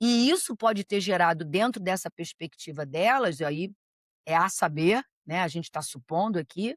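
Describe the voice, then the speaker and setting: A woman keeps a moderate pace while her pitch moves through very wide swings. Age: 60s. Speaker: psychologist. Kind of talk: interview.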